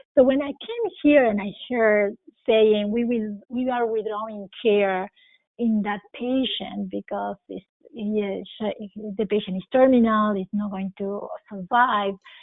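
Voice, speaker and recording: A woman's fairly high voice with a non-native accent and fairly even intonation. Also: fairly slow pace. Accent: foreign. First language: not English. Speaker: critical care physician. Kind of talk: interview.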